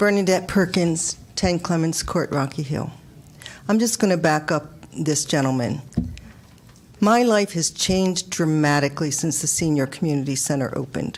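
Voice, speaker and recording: A moderate pace and ordinary pitch variation amid noticeable background noise. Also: woman, very deep, low pitch for a woman. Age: 70s. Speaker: retired resident speaking at public hearing. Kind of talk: public comment at town budget hearing.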